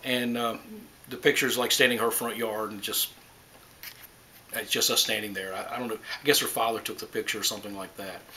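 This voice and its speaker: Against noticeable background noise, a man talks at a very fast pace, leaving long, frequent pauses, his loudness swinging widely. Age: 60s. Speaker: grandfather being interviewed. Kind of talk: interview.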